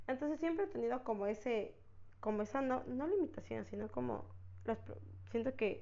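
A woman speaks. Her pace is moderate. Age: 20s. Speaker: podcast host, university student. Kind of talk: personal storytelling monologue. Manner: casual, hesitant with many fillers.

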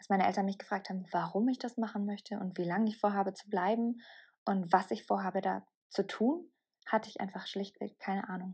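Her dark, mellow tone carries vocal fry as this woman speaks at a fairly quick pace in a medium pitch with ordinary pitch variation, captured in a very clean recording with a silent background. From southern Bavaria, Germany. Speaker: podcast host and mindset coach. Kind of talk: solo podcast monologue.

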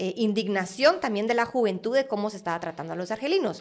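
A woman with a Guatemalan accent talks at medium pitch, her pitch varying in an ordinary way. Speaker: art curator. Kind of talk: interview conversation.

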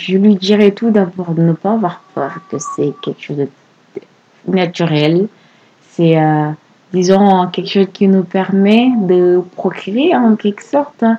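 A soft-spoken woman at a medium pitch talks very slowly with ordinary pitch variation, leaving long, frequent pauses. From Senegal, Saint-Louis. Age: 20s. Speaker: podcast guest. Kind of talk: personal testimony.

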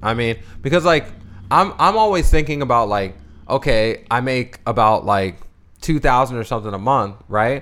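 With an American accent, a man talks at a moderate pace in a medium pitch with lively intonation. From Bowie, Maryland (DC suburbs). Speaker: musician, podcast co-host. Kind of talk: casual chat.

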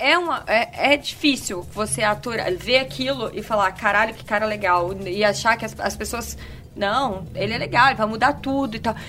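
A woman speaks at a moderate pace in a fairly high pitch with lively intonation. Noticeable background noise runs behind her. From Vitória, Espírito Santo, Brazil. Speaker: podcast guest. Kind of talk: casual chat.

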